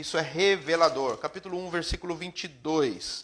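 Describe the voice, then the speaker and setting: At a moderate pace, a man talks in a high pitch with fairly even intonation. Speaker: preacher. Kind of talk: sermon. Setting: live stream.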